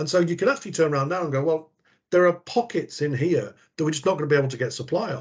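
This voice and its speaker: Talking at a very fast pace, a man with an English accent has a fairly high pitch. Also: ordinary pitch variation. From England. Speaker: procurement professional. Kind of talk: podcast interview.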